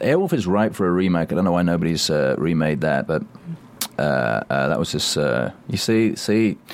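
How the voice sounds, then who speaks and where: A man talks over noticeable background noise. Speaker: actor and voice actor. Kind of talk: casual chat, interview. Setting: studio.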